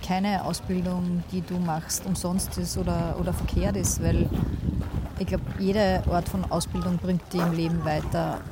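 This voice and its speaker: A woman at a fairly slow pace, with audible room echo and noticeable background noise. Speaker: co-host, photographer. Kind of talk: casual chat. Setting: outdoors on a park bench.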